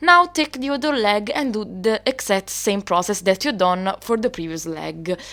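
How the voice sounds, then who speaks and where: A woman with an Italian accent talks at a moderate pace with hardly any pauses. Her medium-pitched voice is bright and sharp in tone, with very wide pitch swings. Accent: Italian accent, noticeable. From Italy. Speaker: doll customizer, video creator. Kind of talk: tutorial. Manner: halting, with fillers.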